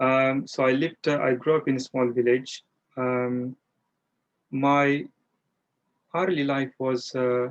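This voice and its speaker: Monotone and flat, the voice moves at a very slow pace with long, frequent pauses and very even loudness, in a dry, close sound with no echo. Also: man, medium pitch for a man. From India, rural Maharashtra. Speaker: Buddhist practitioner, charity appeal director. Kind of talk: personal interview. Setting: video call. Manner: hesitant, many fillers.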